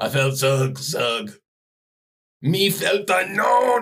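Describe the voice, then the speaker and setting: Delivered very slowly, this is a put-on character voice. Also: man, high pitch for a man. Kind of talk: broken, primitive speech. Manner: comedic, dim-witted.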